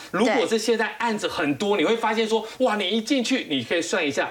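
A fairly quick delivery amid noticeable background noise. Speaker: financial writer. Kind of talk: TV panel discussion.

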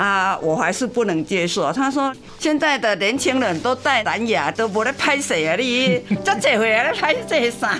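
Over music in the background, a woman with a Taiwanese accent speaks at a moderate pace in a fairly high voice, her pitch swinging very widely while her loudness stays very even. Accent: Taiwanese Mandarin with Taiwanese Hokkien. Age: 70s. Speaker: retiree with hearing loss. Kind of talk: interview testimony. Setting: studio. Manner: many fillers and laughs.

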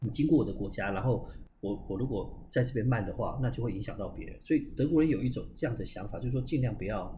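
The voice is dark, mellow and somewhat breathy, at a very fast pace. Room echo can be heard. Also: man, medium pitch for a man, ordinary pitch variation. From Taiwan. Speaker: tour guide, studied in Germany. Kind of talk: casual chat.

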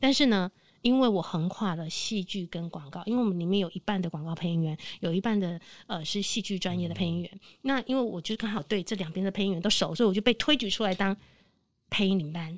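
A woman at a very fast pace, medium pitch and ordinary pitch variation, on a very clean recording with a silent background. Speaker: veteran voice actress. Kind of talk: casual chat.

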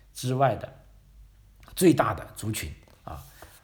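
Lively intonation from a somewhat breathy man. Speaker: podcast host. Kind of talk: casual history talk. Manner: frequent filler particles.

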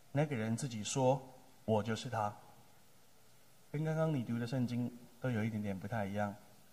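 Speaking at a moderate pace with long, frequent pauses, a man uses a dark, mellow tone and ordinary pitch variation amid audible room echo. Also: medium pitch for a man. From Taiwan, Taipei area (Tamsui). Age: 30s. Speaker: pastor. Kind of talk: sermon.

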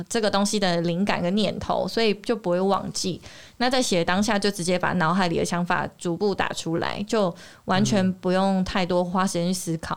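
A woman with an ordinary speaking voice at medium pitch, fairly even intonation and moderate pace, on a very clean recording with a silent background. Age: 30s. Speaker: TV reporter and author. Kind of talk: interview.

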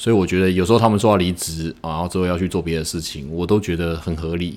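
Very deep, low male voice with a Taiwanese accent and fairly even intonation. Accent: Taiwanese Mandarin. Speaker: podcast host, e-commerce business owner. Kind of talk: casual monologue. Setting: office after work.

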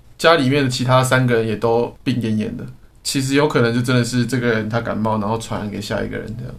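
Audible room echo surrounds a man who speaks very fast at medium pitch with fairly even intonation. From Taiwan. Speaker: podcast co-host. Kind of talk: casual chat.

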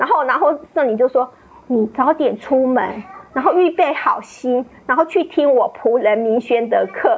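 The speaker uses lively intonation against noticeable background noise. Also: woman, high pitch for a woman. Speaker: church member giving testimony. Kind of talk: testimony.

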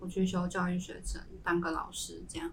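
A woman with a medium-pitched voice speaks fairly slowly, with audible room echo. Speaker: semiconductor fab engineer. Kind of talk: casual chat.

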